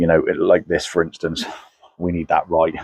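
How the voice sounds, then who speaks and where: A man with a Somerset accent. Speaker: car tuner. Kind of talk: casual video commentary. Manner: hesitant, many fillers.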